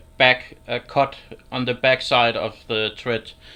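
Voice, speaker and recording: Someone with a Danish accent speaks at a fairly slow pace. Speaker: woodturner. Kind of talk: livestream tutorial. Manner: halting.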